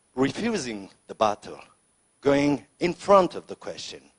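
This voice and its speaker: A man in a French accent talks at a very slow pace and a medium pitch, with very wide pitch swings. The sound is dry and close, with no echo. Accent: French accent, non-native English. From France, Lyon suburbs. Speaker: senator, politician. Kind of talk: unscripted speech at political debate. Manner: halting, with many fillers.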